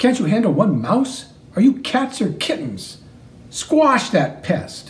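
At a fairly slow pace, the speaker uses a put-on character voice with a fairly high pitch. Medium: read story. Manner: sneering, bossy.

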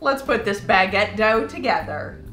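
The speech moves at a moderate pace, with audible room echo and faint music in the background. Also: woman. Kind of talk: tutorial. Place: kitchen.

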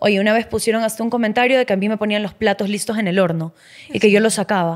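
Very fast speech from a woman with ordinary pitch variation comes through against a quiet background. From Ecuador. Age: 20s. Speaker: model and former cooking show contestant; podcast guest. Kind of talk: casual interview chat. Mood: candid, reflective, animated. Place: studio. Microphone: studio mic.

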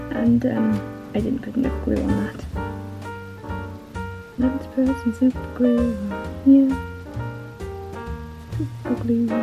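With clear music in the background, a woman speaks at a very slow pace, leaving long, frequent pauses. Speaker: taxidermist. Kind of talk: casual craft vlog narration. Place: home room. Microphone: phone near.

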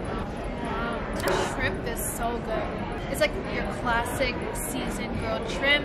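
Music plays behind a woman as she talks. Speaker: food vlogger. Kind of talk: casual food review chat.

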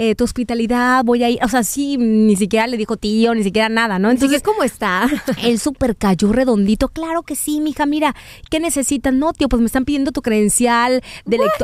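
A high-pitched woman's voice at a fairly quick pace, with ordinary pitch variation. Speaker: podcast co-host. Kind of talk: casual chat.

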